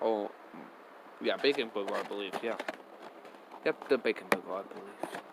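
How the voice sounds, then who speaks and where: The man speaks at a medium pitch and a moderate pace, with ordinary pitch variation. Long, frequent pauses break up his speech against noticeable background noise. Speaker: reaction video youtuber. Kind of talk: casual reaction commentary. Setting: at home in bedroom.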